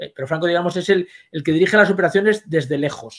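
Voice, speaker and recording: A high-pitched male voice at a very fast pace, with ordinary pitch variation and a quiet background. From Spain. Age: 60s. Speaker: history professor. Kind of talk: interview. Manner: halting. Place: home room.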